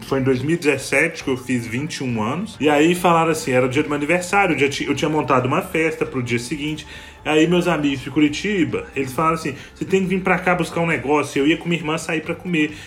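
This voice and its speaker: With music in the background, a man speaks fairly quickly and with hardly any pauses, his fairly high pitch showing ordinary variation. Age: 20s. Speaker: podcast host. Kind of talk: casual chat. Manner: animated.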